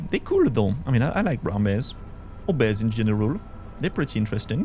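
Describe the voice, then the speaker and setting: A man with a Belgian accent at a very fast pace, very even loudness, ordinary pitch variation, music in the background. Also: medium pitch for a man. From Belgium. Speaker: vtuber streamer. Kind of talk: casual live gameplay chat.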